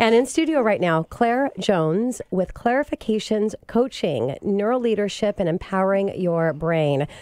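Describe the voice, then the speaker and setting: A woman's voice with very wide pitch swings, at a moderate pace with hardly any pauses, in a dry sound with no echo and a quiet background. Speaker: radio show host. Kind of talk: radio host introduction. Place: studio.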